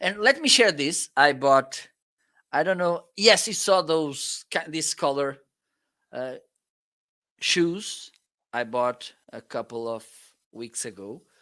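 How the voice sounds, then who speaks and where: The voice has a bright, sharp tone and a Portuguese accent, with lively intonation and big swings in loudness. It moves at a very slow pace with long, frequent pauses, in a very clean recording over a silent background. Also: man, fairly high pitch for a man. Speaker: product reviewer and live stream co-host. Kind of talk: casual live stream chat. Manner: halting.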